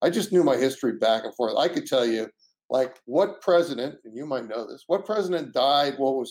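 This man has a normal speaking voice, fairly high-pitched, with lively intonation, big swings in loudness and a fairly quick pace. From US East Coast, moved to California as a teen. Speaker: tech entrepreneur. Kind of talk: interview.

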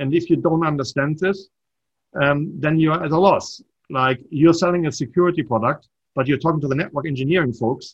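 Somewhat breathy and fairly high-pitched, the man talks at a fairly quick pace with ordinary pitch variation. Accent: German. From Germany. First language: German. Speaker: startup entrepreneur and mentor. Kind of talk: casual interview.

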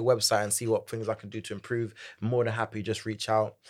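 In a London accent, a man speaks in an energetic, animated tone. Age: 20s. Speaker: Gen Z corporate advisor and entrepreneur. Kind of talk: casual interview chat.

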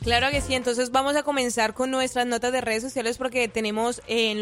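A woman talks with a fairly high pitch. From Colombia. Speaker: social media news presenter. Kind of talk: entertainment news segment on morning radio.

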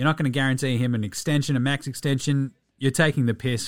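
On a very clean recording with a silent background, a man with an Australian accent talks at a very fast pace in an animated tone, with a medium pitch and ordinary pitch variation. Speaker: podcast host. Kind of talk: radio dj patter: chatty, jokey show-opening banter with ad reads. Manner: fast, animated, punchy and cheeky, rattling off slang and plugs.

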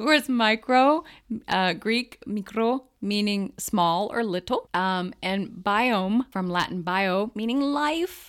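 In an American accent, the speaker talks at a very slow pace with lively intonation on a very clean recording with a silent background. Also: woman, fairly high pitch for a woman. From central Pennsylvania. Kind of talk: casual chat.

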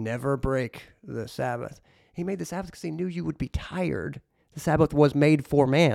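Heard as a dry, close sound with no echo, a man in a normal speaking voice speaks at a moderate pace and fairly high pitch, with big swings in loudness. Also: ordinary pitch variation. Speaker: podcast co-host. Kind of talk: casual chat.

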